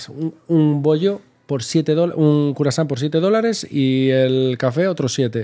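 A man speaks at a fairly slow pace in a fairly high voice with a dark, mellow tone and ordinary pitch variation, over a quiet background. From Spain. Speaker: travel blogger. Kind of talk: casual chat. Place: home room. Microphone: studio mic.

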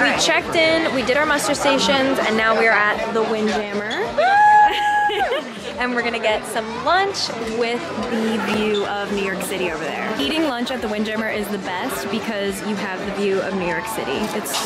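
Over loud music in the background, a woman talks at a moderate pace. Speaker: travel vlogger. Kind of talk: casual vlog chat. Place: boat. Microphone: phone near.

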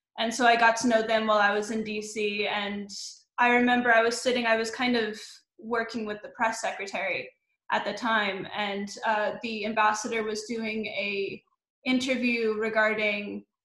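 With audible room echo, a woman with an American accent speaks at a moderate pace in a medium, fairly bright voice that has little pitch movement.

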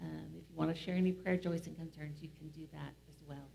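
A woman speaks at a fairly quick pace in a somewhat breathy voice. Her tone is dark and mellow. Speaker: pastor leading worship. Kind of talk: worship announcements. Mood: warm, welcoming. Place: church.

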